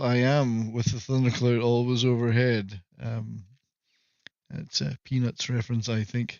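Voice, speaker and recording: With a slight Scottish accent, a man speaks at medium pitch and a fairly slow pace, his intonation fairly even. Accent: mild Scottish. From Scotland, Moray Firth coast. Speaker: live-stream host. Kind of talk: casual comedic monologue. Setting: live stream.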